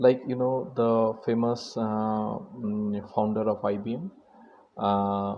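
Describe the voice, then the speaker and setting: A man with a Bengali accent speaks very slowly and with fairly even intonation, and audible room echo surrounds him. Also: medium pitch for a man. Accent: Indian English, Bengali. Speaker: mentor, lecturer. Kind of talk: motivational lecture. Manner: halting, many fillers.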